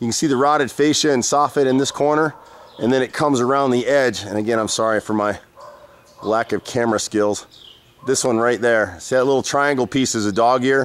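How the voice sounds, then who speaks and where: Noticeable background noise sits behind a man talking at a fairly quick pace. His pitch is medium, with ordinary pitch variation. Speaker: handyman contractor. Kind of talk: on-site walkthrough review. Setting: outdoors at a house. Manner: casual, conversational.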